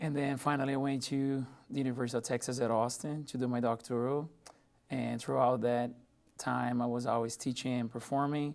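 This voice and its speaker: At a fairly quick pace, a man speaks in a Portuguese accent. His medium-pitched voice stays monotone and flat. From Brazil, São Paulo. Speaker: music professor. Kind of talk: radio interview.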